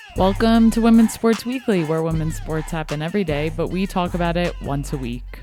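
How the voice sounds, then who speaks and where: Music plays behind a woman speaking at a fairly quick pace with hardly any pauses. Her pitch is fairly low and varies in an ordinary way. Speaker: podcast host. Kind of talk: podcast intro.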